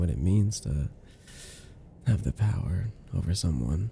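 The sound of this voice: A man does a put-on character voice, low-pitched with vocal fry and a dark, mellow tone. His intonation is lively and his pace fairly slow.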